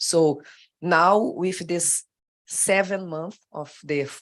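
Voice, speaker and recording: A woman speaks with a Brazilian accent and fairly even intonation. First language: Portuguese. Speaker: government official. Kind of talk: panel discussion. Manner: halting.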